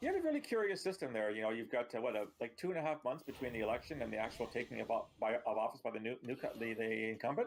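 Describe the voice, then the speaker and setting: A man with a Canadian accent talks at a very fast pace with hardly any pauses. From Canada. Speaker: former intelligence analyst and author. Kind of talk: casual interview.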